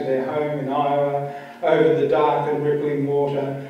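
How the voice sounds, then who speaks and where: A fairly high-pitched man talks with noticeable background noise behind him. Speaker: poet. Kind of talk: poetry reading. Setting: live reading at a venue.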